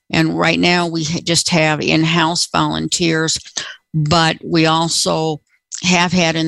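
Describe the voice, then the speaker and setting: A woman's voice is heard with a dry, close sound and no echo. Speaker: apartment resident. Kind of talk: casual chat. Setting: video call.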